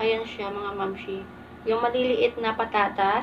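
Fairly even intonation against noticeable background noise. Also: woman. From Philippines. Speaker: mukbang vlogger. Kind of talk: casual vlog talk to camera. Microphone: phone camera; phone near.

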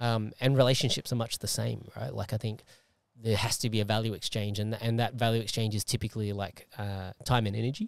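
Against a quiet background, a man talks very fast with fairly even intonation in dry sound with no echo. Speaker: podcast host and martial artist; podcast host. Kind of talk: casual interview. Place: car. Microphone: handheld.

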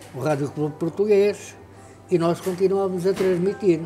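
Talking at moderate speed, a man is accompanied by faint background music. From Portugal, Ribatejo (Pernes); Portugal. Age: 80s+. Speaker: radio pioneer. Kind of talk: interview. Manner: animated. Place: home room.

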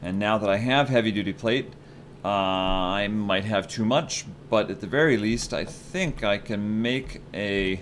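A man with a fairly low pitch speaks at a fairly slow pace with ordinary pitch variation over light background noise. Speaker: gaming video creator. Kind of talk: casual gameplay commentary. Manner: chatty, excitable.

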